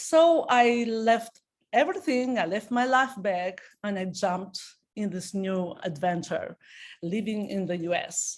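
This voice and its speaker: This woman has an Albanian accent and a medium pitch. Her intonation is lively, and she talks at a fairly slow pace. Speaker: network marketing consultant. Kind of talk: business presentation. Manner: halting, with many fillers.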